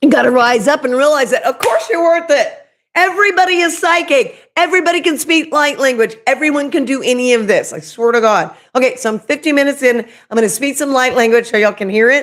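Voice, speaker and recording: A woman with a strong Oklahoma accent, high-pitched and very fast, with lively intonation. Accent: Oklahoma accent, thick. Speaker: spiritual medium and YouTuber. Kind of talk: livestream spiritual talk. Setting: live video stream. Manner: casual, chatty.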